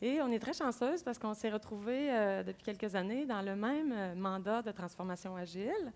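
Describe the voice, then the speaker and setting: The recording is very clean, with a silent background. A woman speaks in a plain, everyday voice at a medium pitch with ordinary pitch variation. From Quebec City. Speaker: agile coach. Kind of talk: conference talk. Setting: stage with audience.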